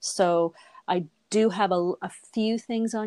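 Her intonation is fairly even. The speaker is a woman. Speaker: voice over artist. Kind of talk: casual interview chat. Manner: conversational, hesitant with fillers.

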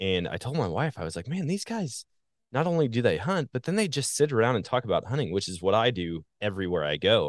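Over a quiet background, a man talks at a very fast pace in a medium pitch with vocal fry and very wide pitch swings. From Wisconsin, US Midwest. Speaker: hunter and social media content creator. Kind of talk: casual interview chat.

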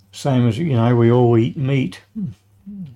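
A man with an Australian accent speaks at a medium pitch with ordinary pitch variation. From Adelaide, South Australia. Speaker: retired tradesman and grandfather. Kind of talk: interview, life stories. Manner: halting.

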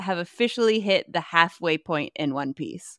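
Over a quiet background, a woman speaks with a fairly low pitch. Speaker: voice actor and artist. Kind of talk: casual interview.

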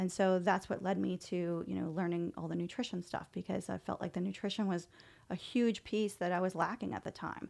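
A woman with an American accent speaks in a plain, everyday voice at a medium pitch and a fairly quick pace. Her intonation stays fairly even, and the recording is very clean with a silent background. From US South, New Orleans. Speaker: chiropractor. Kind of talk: interview.

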